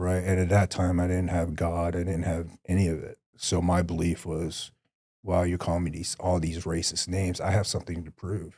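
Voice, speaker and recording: Speaking in an American accent, a man with a very deep, low pitch delivers somewhat breathy, monotone, flat speech at a moderate pace on a very clean recording with a silent background. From Vietnam-born, raised in the US from about age five. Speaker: former special forces soldier. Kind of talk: testimony. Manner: reflective, earnest.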